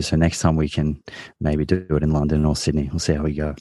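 Over a quiet background, a man with an Australian accent speaks at a fairly quick pace in a very deep, low pitch with a dark, mellow tone. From Australia, Victoria. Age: 30s. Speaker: nutritionist and podcast host. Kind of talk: interview.

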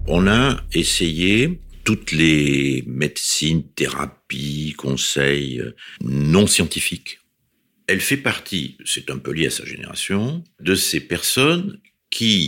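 Pitch rises and falls across a very wide range. Delivery comes at a very slow pace. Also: man. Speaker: academic, husband telling love story. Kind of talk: personal testimony.

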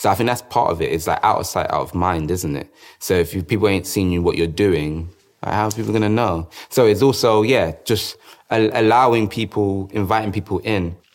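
Recorded very cleanly against a silent background, a man with a London accent speaks fairly quickly at a fairly low pitch with ordinary pitch variation. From South London. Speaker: dancer and choreographer. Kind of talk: interview.

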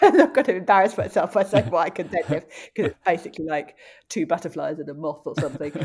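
In a very clean recording with a silent background, a woman with an English accent and a fairly low pitch speaks with lively intonation and big swings in loudness. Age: 40s. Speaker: journalist, runner and presenter. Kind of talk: interview. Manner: halting.

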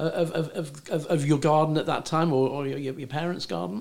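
A fairly high-pitched man with a British accent, ordinary pitch variation and a fairly quick pace. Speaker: podcast host, former magazine editor. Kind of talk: casual chat.

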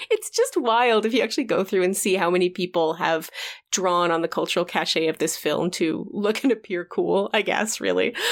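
The speaker has a normal speaking voice with ordinary pitch variation and a moderate pace. Loudness stays very even, and the recording is very clean with a silent background. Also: woman, medium pitch for a woman. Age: 40s. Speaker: podcast co-host. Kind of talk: casual chat.

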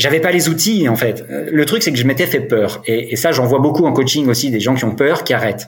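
A man talks somewhat breathily at a fairly quick pace. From France, Dijon. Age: 40s. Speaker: sobriety coach, recovered alcoholic. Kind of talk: personal testimony in podcast interview. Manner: hesitant, many fillers and repetitions.

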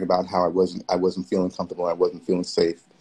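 Here a man with a New York accent speaks at a very deep, low pitch. His tone is dark and mellow, and his intonation fairly even. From New York City. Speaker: event producer and community organizer. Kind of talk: casual interview. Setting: Instagram Live video call.

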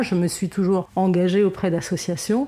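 The voice has a dark, mellow tone and a moderate pace, captured in a very clean recording with a silent background. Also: woman. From Lebanon. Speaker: fundraising agency director. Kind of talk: interview. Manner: halting, frequent word repetitions.

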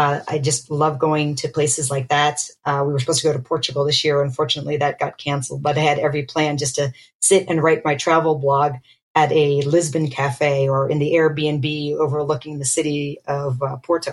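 In an American accent, a woman with a very deep, low pitch talks at a fairly quick pace, her somewhat breathy voice held to a monotone, flat intonation. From Pennsylvania, US. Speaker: dermatologist. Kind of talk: casual chat.

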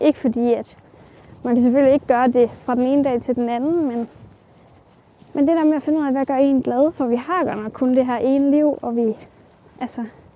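Over noticeable background noise, a woman with a high voice speaks at a moderate pace with fairly even intonation and long, frequent pauses. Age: 20s. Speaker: self-taught ceramicist. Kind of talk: interview while walking. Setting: outdoors, walking.

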